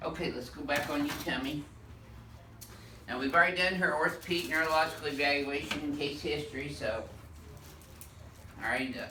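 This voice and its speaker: Against audible room echo and noticeable background noise, a man with fairly high pitch speaks at a moderate pace with fairly even intonation. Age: old. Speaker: chiropractor. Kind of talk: clinical demonstration narration. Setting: chiropractic clinic.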